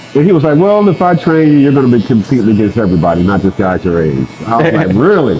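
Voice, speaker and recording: A man's lively, up-and-down intonation over noticeable background noise. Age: 60s. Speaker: bodybuilder. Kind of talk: casual interview answer. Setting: barbershop.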